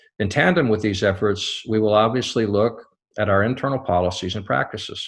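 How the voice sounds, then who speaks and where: Against a quiet background, a man with an American accent speaks in a normal speaking voice, fairly low in pitch with fairly even intonation. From US, small town. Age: 60s. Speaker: company CEO. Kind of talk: scripted address. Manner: formal.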